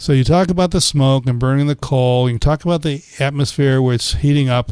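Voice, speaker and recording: A man's voice at medium pitch, a plain, everyday voice, with ordinary pitch variation and a fairly quick pace. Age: 60s. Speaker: physician and gynecologist. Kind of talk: health podcast discussion.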